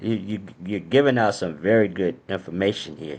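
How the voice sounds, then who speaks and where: This is a man with an ordinary speaking voice. He talks at a fairly slow pace and a fairly low pitch. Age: 60s. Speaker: podcast host. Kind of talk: interview.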